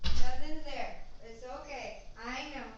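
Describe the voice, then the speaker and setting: A woman with an American accent speaks at a very slow pace. Noticeable background noise and audible room echo surround her voice. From Florida. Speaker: streamer interviewer. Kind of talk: interview.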